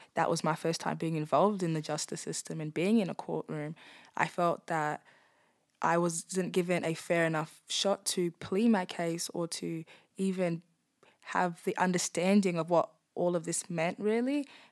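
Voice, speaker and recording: At a moderate pace, a woman speaks with a fairly low pitch and ordinary pitch variation. The recording is very clean, with a silent background. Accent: Australian. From Darwin, Australia. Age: young. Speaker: former prisoner. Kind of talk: interview testimony.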